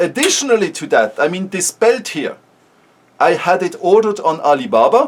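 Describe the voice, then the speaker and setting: Very wide pitch swings at a moderate pace, with a Swiss German accent. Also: man. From Switzerland (German-speaking). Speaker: startup founder. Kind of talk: casual vlog talk. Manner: halting, with repeated words.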